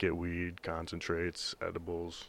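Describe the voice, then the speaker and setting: Here a man talks with an American accent. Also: quiet background. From US Midwest. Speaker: pro football player and stand-up comedian. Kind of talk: casual chat.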